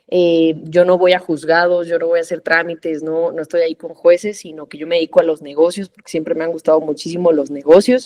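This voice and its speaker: A woman's fairly low voice, dark and mellow in tone, with a Mexican accent. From Mexico. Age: 30s. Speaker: corporate lawyer and trader. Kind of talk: podcast interview. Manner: conversational with frequent fillers.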